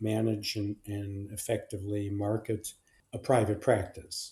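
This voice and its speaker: A man's somewhat breathy, fairly low voice at a fairly slow pace. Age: 80s+. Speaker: clinical and forensic psychologist. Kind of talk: interview answer. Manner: hesitant, many fillers.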